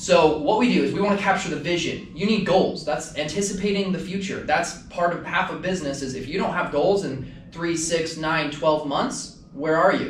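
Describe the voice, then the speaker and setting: Against noticeable background noise, a man speaks at a moderate pace in a high voice with ordinary pitch variation. He takes hardly any pauses. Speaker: sales trainer. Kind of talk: sales pitch roleplay. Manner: animated.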